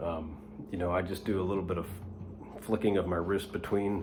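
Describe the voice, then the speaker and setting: Very deep and low in pitch, a man's somewhat breathy voice moves at a moderate pace with fairly even intonation. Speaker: guitar teacher. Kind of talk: tutorial. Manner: whispering, soft; hesitant, many fillers.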